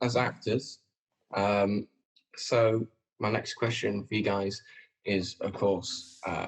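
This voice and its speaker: Speaking very slowly with a Lancashire accent, a man leaves long, frequent pauses. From northern England, Preston. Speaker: actor and podcast host. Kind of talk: casual chat.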